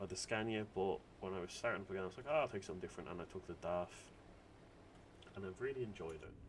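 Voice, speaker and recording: A man with an Irish accent and lively intonation. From Ireland. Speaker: gaming video creator. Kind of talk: gameplay commentary. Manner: casual, rambling with fillers.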